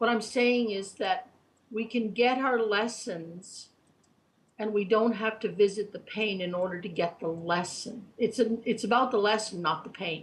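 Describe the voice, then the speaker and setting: Somewhat breathy, a woman speaks at a fairly high pitch and a fairly slow pace. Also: ordinary pitch variation. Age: 60s. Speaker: spiritual reader and guide. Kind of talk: interview. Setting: online chat show.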